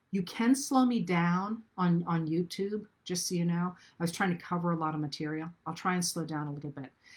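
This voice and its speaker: Somewhat breathy and fairly low in pitch, a woman talks at a fairly quick pace on a very clean recording with a silent background. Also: ordinary pitch variation, hardly any pauses. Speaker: historian. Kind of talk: lecture. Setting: livestream.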